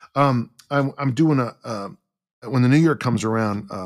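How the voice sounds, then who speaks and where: A man with an American accent talks at a moderate pace. He has an ordinary speaking voice with ordinary pitch variation. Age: 60s. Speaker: strength coach and author. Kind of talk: casual interview.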